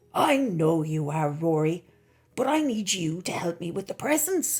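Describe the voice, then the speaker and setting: Putting on a character voice, a woman speaks with a raspy, warm tone, fairly low pitch and lively intonation at a moderate pace. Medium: read story. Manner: warm, kindly.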